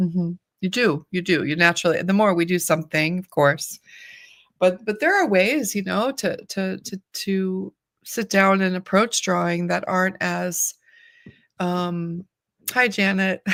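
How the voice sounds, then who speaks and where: With a normal speaking voice, the speaker goes at a fairly slow pace with ordinary pitch variation, in a very clean recording with a silent background and a dry, close sound with no echo. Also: woman, medium pitch for a woman. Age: 60s. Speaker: artist and teacher. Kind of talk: casual chat.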